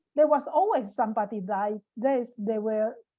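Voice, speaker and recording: A woman speaks with a fairly high pitch and ordinary pitch variation. Her tone is dark and mellow. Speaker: Taiwanese community member in Europe. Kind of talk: online panel discussion. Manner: halting.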